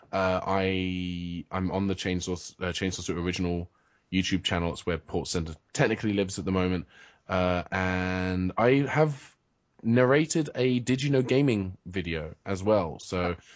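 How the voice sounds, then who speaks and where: A man with a British accent and a very deep, low pitch, at a moderate pace. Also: ordinary pitch variation. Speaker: comic writer and video blogger. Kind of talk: interview. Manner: halting, many fillers and restarts.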